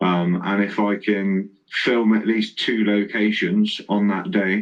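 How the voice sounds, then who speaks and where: A man's fairly low pitch in a monotone, flat intonation. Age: adult, parent of four. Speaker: livestream interviewer. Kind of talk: casual interview chat. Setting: livestream with chat.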